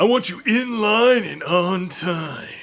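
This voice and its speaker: A put-on character voice at a fairly slow pace. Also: man, high pitch for a man. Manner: forceful, with extra emphasis.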